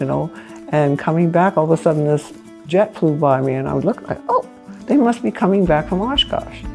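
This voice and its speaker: Music plays in the background as the speaker talks at a fairly quick pace. The pitch swings very widely. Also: woman, fairly low pitch for a woman. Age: 80s+. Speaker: pilot. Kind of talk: interview storytelling. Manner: casual, halting with fillers.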